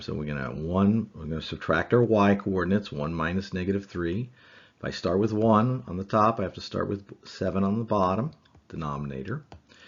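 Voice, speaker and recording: Fairly quick in pace, this man has a plain, everyday voice. His pitch is fairly low, with ordinary pitch variation. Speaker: math teacher. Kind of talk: lecture.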